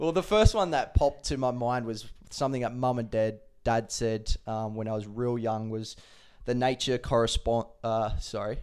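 With an Australian accent, a man talks at medium pitch and a moderate pace. His intonation is fairly even, and the recording is very clean with a silent background. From Adelaide, South Australia. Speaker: professional footballer. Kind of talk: interview.

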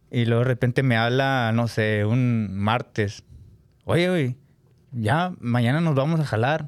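In a very clean recording with a silent background, a man speaks with a normal speaking voice at medium pitch. His pace is fairly slow, with ordinary pitch variation. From Nuevo León, Mexico. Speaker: accordion player in a regional Mexican band. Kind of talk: casual interview chat.

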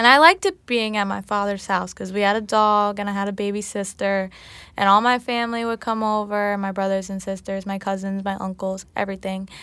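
On a very clean recording with a silent background, a voice with an American accent speaks at a fairly quick pace. Its tone is bright and sharp, and its intonation is monotone and flat. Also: woman, medium pitch for a woman. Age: 20s. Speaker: college student, daughter of host. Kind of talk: personal testimony.

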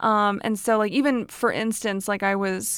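The recording is very clean, with a silent background. A woman speaks at a medium pitch with fairly even intonation. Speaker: podcast host and self-help author. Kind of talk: casual monologue; reading aloud from own book. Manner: fast; frequent laughter.

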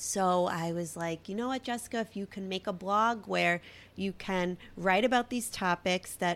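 A woman talks in a Brooklyn accent with ordinary pitch variation. The recording is very clean, with a silent background. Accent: Brooklyn, heavy. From Brooklyn, New York. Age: 30s. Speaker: podcaster and blogger. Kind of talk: casual solo monologue.

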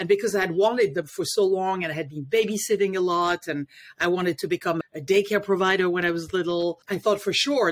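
Speaking in a French accent, a woman talks at a fairly quick pace with medium pitch. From France, Paris. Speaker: life coach and parenting educator. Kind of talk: interview.

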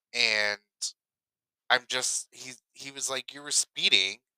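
Recorded dry and close with no echo, a man at medium pitch speaks at a moderate pace in a bright, sharp tone. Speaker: podcast co-host. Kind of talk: casual chat.

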